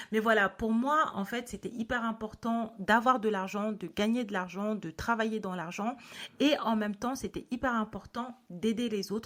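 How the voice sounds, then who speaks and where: A plain, everyday voice from a woman, fairly high-pitched and fairly slow, on a very clean recording with a silent background. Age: 30s. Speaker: podcast host. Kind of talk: podcast monologue. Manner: casual, with frequent filler sounds.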